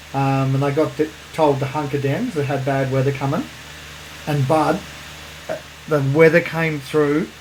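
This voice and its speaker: A man with an Australian accent speaks at a fairly high pitch in a monotone, flat delivery. He leaves long, frequent pauses over noticeable background noise. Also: moderate pace. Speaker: podcast co-host. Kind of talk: casual chat. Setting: separate rooms, remote recording.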